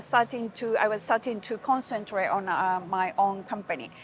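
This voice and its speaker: A woman with a Japanese accent, fairly high pitch and ordinary pitch variation, in a very clean recording with a silent background. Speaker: hospitality and PR professional. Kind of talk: interview. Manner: halting.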